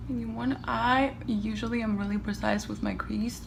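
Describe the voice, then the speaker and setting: This woman's delivery is fairly slow. The room's echo is clearly audible around her. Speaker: beauty vlogger. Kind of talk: makeup tutorial chat. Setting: home, seated by windows. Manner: soft-spoken, near whisper.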